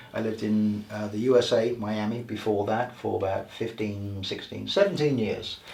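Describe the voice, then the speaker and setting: A man talks at medium pitch. Noticeable background noise and audible room echo surround him. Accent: English. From England. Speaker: healer and author. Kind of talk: interview.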